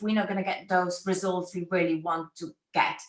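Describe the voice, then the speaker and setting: With a non-native accent, a woman speaks at a moderate pace. Her intonation stays fairly even. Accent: foreign accent, noticeable. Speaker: brand photographer. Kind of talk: interview.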